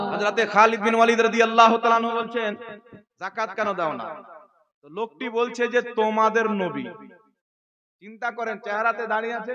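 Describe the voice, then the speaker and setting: Extremely high-pitched male voice, raised and projected, monotone and flat. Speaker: Islamic preacher. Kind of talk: religious sermon to a gathering.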